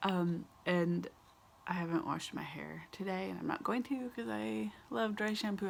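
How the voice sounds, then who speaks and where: Softly spoken, a woman talks. Her voice stays soft throughout. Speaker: vlogger. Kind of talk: casual chat. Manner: soft-spoken; hesitant, many fillers.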